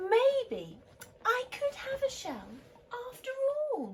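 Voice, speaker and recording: A woman's put-on character voice, extremely high in pitch and very slow. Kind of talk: bedtime story. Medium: read story. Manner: excitable, wide-eyed.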